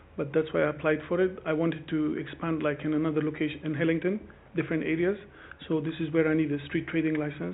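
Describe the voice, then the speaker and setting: Against noticeable background noise, a man with a non-native accent speaks at a fairly high pitch in a monotone, flat intonation. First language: not English. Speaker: street food trader applying for a licence. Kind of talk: formal hearing testimony. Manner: halting.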